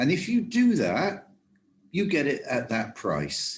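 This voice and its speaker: Against a quiet background, a man speaks at a fairly slow pace with vocal fry. His pitch swings very widely. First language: German. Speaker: travel industry trainer. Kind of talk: lecture.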